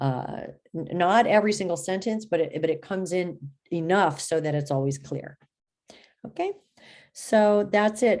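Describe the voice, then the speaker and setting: Fairly low-pitched woman with lively intonation at a moderate pace. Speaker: college writing instructor. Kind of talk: recorded class announcement video. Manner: halting, with many repeats and fillers.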